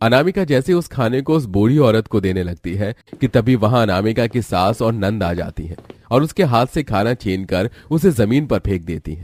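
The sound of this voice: A man speaks with lively intonation and few pauses in a slightly mellow tone. The recording is very clean with a silent background and a dry, close sound with no echo. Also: fairly low pitch for a man, moderate pace.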